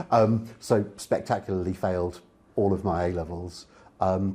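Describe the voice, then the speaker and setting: Talking at a moderate pace, a man with a southern English accent has a fairly low pitch and a dark, mellow tone. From England, Oxfordshire. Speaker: public speaker and author. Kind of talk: interview conversation.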